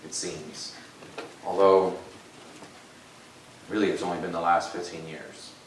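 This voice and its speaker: In a room with audible echo and noticeable background noise, a man with a very deep, low voice speaks fairly slowly in a flat monotone, with long, frequent pauses and big swings in loudness. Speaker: lay preacher. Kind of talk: sermon.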